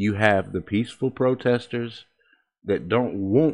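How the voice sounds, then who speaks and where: The speaker has an American accent and talks at a fairly slow pace. Pitch variation is ordinary. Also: man. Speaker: conservative commentator host. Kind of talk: angry political rant, fired-up opinion monologue. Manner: loud, heated, emphatic, punching each point with indignation.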